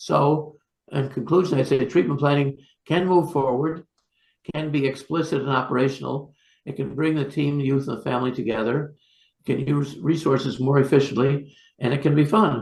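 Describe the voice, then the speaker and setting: Here a man speaks with a somewhat breathy voice. His pitch is fairly high and his intonation fairly even. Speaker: psychiatrist. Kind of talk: lecture. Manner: fast; halting.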